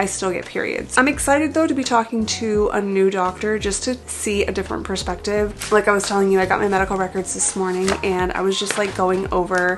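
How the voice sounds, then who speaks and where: Over noticeable background noise, a woman talks at a fairly quick pace and medium pitch, with ordinary pitch variation and hardly any pauses. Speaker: lifestyle vlogger. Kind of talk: casual vlog talk to camera. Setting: home office. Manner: casual, filler-heavy.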